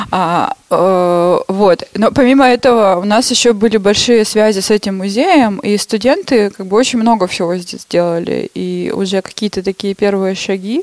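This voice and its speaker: A woman's plain, everyday voice at medium pitch, moderate pace, ordinary pitch variation and hardly any pauses. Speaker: artist and ceramicist. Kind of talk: casual chat.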